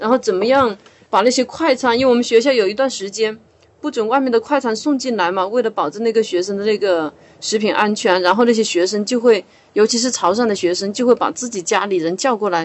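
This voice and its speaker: A woman speaks in a normal speaking voice at a fairly quick pace, her fairly high pitch moving with ordinary variation. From Hunan, China. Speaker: writer and university teacher. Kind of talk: podcast discussion.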